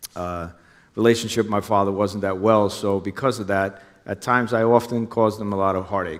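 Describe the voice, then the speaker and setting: A man's fairly low voice in a New Jersey accent, fairly quick and fairly even in intonation, on a very clean recording with a silent background. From New Jersey, Hudson County. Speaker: former undercover police officer. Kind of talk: onstage interview. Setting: stage with audience.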